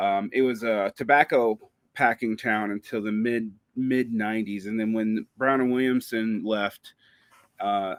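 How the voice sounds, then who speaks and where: On a very clean recording with a silent background and a dry, close sound with no echo, a man with an American accent speaks at a fairly slow pace with fairly even intonation. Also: medium pitch for a man. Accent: Southern US, comes back while talking. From US South, Macon, Georgia. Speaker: podcaster and writer. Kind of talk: interview conversation.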